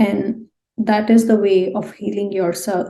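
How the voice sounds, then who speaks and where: At a very slow pace, a woman speaks in a somewhat breathy voice with a dark, mellow tone and monotone, flat intonation. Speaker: tarot card reader. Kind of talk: pick-a-card tarot reading. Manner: subdued, low-energy; hesitant with fillers.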